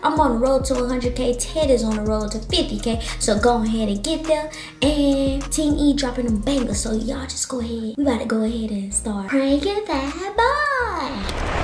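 Faint music plays in the background. A woman speaks with hardly any pauses. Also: moderate pace. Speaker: vlogger. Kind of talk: casual vlog chat. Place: bathroom. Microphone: phone near.

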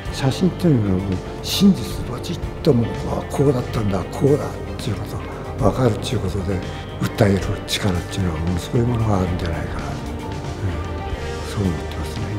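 A man talks at a very fast pace with clear music playing in the background. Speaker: photographer. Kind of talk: interview answer. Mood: calm, reflective. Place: hall.

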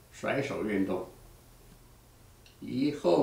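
Speaking at a very slow pace with ordinary pitch variation, a man's voice carries audible room echo. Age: 80s+. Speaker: exercise instructor; exercise teacher. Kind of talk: tutorial. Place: empty room. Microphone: camera far.

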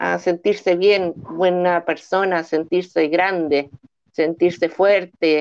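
The background stays quiet. A woman talks fairly slowly. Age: 40s. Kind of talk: testimony. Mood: earnest, encouraging. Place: home room. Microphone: video call.

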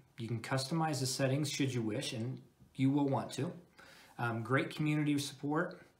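A man with fairly even intonation. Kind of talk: product review talk over slides.

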